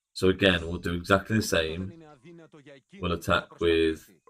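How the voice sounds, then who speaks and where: A man with an English accent speaks fairly slowly at a very deep, low pitch. His intonation is flat and monotone, on a very clean recording with a silent background. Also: long, frequent pauses. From England. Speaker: gaming streamer. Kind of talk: live stream commentary. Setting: live stream. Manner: casual, conversational.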